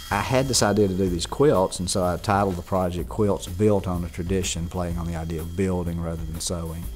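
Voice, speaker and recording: A man speaks at a very deep, low pitch and a moderate pace, with ordinary pitch variation. Music plays in the background, and room echo is audible. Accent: Mississippi. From Mississippi. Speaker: sculptor and art professor. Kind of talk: interview monologue. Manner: casual, with fillers and restarts.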